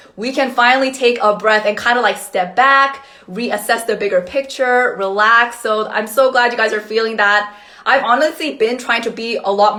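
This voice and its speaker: A woman with a Korean accent speaks at a fairly high pitch with fairly even intonation. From South Korea, then Canada, raised mostly in California. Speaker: astrologer. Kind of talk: livestream talk. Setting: live video stream.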